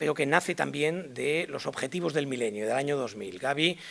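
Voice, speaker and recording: Lively intonation runs through this voice, delivered at a moderate pace. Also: man. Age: 60s. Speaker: public health expert. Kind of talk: conference lecture. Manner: hesitant, many fillers.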